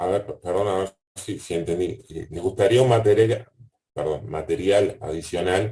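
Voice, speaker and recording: A man's fairly low, somewhat breathy voice has a dark, mellow tone and ordinary pitch variation. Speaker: university lecturer. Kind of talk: online class Q&A. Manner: fast.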